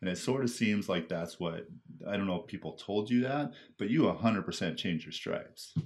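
Here a man speaks with a Canadian accent. His fairly low voice carries lively intonation. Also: moderate pace. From western Canada (Surrey, British Columbia). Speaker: podcast host. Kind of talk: casual interview chat.

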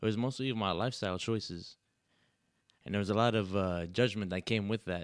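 With ordinary pitch variation and a medium pitch, a man speaks in an ordinary speaking voice. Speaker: pharmacy worker and amateur rapper. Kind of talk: casual chat.

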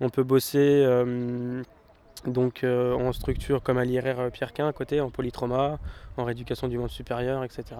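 The man's voice sits at a medium pitch. His intonation stays monotone and flat. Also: fairly slow pace. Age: 20s. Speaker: para-athlete, sprinter. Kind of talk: interview.

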